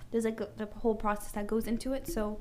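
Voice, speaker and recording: Over noticeable background noise, a woman talks at a very fast pace in a fairly high pitch. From Canada. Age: 20s. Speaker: wig maker and hair business owner. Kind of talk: casual chat.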